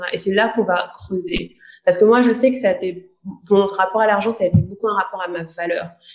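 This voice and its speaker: A woman talks at a fairly quick pace and medium pitch in a normal speaking voice. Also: ordinary pitch variation. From Guadeloupe. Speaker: podcast co-host, coach. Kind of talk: casual chat.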